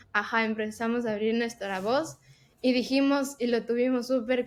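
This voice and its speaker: An ordinary speaking voice is heard here. It moves at a moderate pace with fairly even intonation. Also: woman. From Ecuador. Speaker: tech professional and podcast co-host. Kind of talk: casual interview chat.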